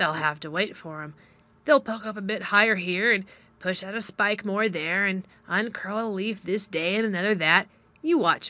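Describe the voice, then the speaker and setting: In a gruff, put-on character voice of medium pitch, a woman speaks at a moderate pace. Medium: read story. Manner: gruff, blunt.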